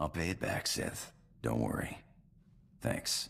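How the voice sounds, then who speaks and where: A man's raspy, put-on character voice, very deep and low in pitch, at a fairly slow pace. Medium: video game. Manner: laconic, drawling.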